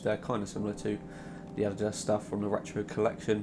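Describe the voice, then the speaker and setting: A quiet man with a fairly low pitch speaks while music plays in the background. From southern England, Southampton. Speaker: football shirt designer YouTuber. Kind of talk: casual video commentary.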